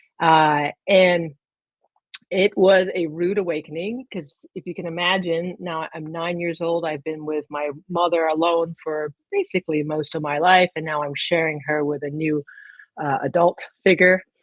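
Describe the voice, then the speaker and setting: With an American accent, a woman uses an ordinary speaking voice at a fairly low pitch. She goes at a fairly slow pace with fairly even intonation. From military child, grew up in England, Spain and the US. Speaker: retired navy officer and photographer. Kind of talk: interview.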